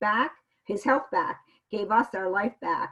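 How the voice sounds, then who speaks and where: With ordinary pitch variation, a woman talks at a fairly high pitch. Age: 60s. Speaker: interviewee sharing product experience. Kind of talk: interview testimony. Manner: halting.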